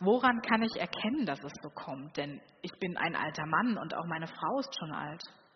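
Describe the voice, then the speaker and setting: Through noticeable background noise, a woman uses a calm, gentle tone with lively intonation. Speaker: preacher. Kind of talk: sermon in a church, warm and personal, addressing the congregation. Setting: church. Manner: calm, earnest, conversational, with gentle inviting appeals.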